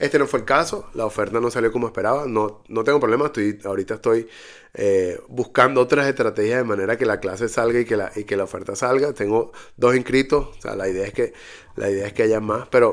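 A man with a medium-pitched voice talks at a very fast clip in fairly even intonation, recorded very cleanly against a silent background. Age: 40s. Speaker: podcast host, digital marketing entrepreneur. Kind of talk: solo monologue. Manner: hesitant, frequent fillers.

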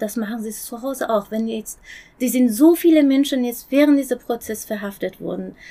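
The woman's voice sits high in pitch. She keeps a moderate pace. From Iran. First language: Persian (speaking German). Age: 40s. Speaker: human rights activist. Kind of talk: interview. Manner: halting.

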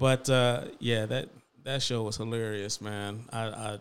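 A man speaks at a medium pitch and a fairly slow pace. His is a normal speaking voice. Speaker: podcast co-host. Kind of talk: casual chat.

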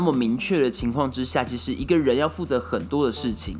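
With music in the background, a man speaks fairly quickly. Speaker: solo podcast host. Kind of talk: casual monologue. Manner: many filler words.

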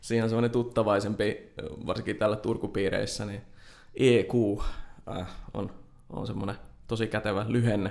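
A man speaks in a flat monotone at a fairly low pitch. Long, frequent pauses break up his speech. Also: moderate pace. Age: 20s. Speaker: software developer. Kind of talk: interview. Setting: studio.

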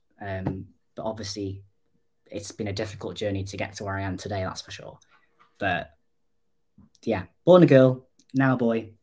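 A man with a North Welsh accent, fairly low pitch, a somewhat breathy quality, ordinary pitch variation, a moderate pace and long, frequent pauses. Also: big swings in loudness. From North Wales. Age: 20s. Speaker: digital designer, mental health advocate. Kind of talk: interview.

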